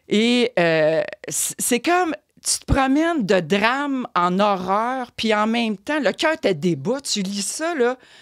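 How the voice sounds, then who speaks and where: Very wide pitch swings mark the very slow speech, heard against a quiet background. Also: woman. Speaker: columnist; guest. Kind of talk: casual chat. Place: studio. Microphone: studio mic.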